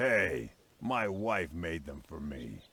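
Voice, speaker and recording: Putting on a character voice, a man sounds raspy and very deep, his pitch swinging very widely. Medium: video game.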